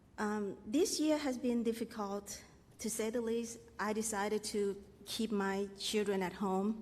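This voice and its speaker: In a room with audible echo, a woman with a non-native accent talks at a fairly slow pace in a fairly high voice with ordinary pitch variation. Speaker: parent. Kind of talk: testimony. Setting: stage with audience. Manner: halting.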